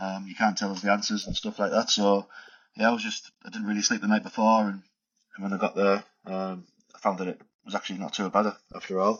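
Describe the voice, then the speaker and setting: A man talks very fast with a strong northeast English accent. His intonation is flat and monotone. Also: fairly low pitch for a man. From northeast England, Middlesbrough. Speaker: migrant, skills assessor. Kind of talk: casual interview chat.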